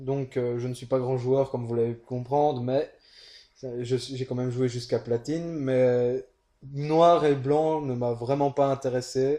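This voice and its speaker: A man speaks at a fairly slow pace with a dark, mellow tone and medium pitch. His intonation stays monotone and flat. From Belgium. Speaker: co-commentator, casual player. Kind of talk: game commentary chat.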